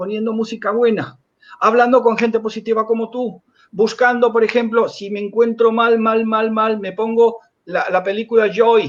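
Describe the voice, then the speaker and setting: A man's high-pitched voice, flat and monotone, at a moderate pace. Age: 60s. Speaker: hypnotherapist and author. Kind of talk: interview. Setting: live stream.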